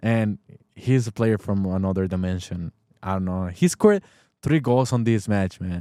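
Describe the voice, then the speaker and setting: A man with a Spanish accent, a dark, mellow tone, moderate pace and ordinary pitch variation, in a dry, close sound with no echo and a very clean recording with a silent background. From Mexico. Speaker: football podcast host. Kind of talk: casual sports talk. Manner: animated; halting.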